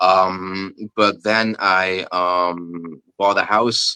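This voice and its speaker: A man with a non-native accent, fairly low pitch and a bright, sharp tone, his intonation fairly even, in a dry, close sound with no echo. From Belgium (Flanders). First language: Dutch. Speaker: pagan folk rapper. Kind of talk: interview. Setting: video call, evening. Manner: halting, many fillers.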